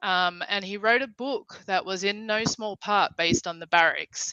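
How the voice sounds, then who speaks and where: At a fairly slow pace, a woman with an Australian accent and a medium pitch speaks with ordinary pitch variation. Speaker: livestream host. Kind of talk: casual chat.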